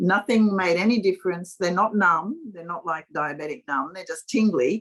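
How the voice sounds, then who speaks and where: A somewhat breathy woman's voice at medium pitch, lively in intonation. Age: 70s. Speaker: participant in a group video session. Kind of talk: casual chat. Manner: halting.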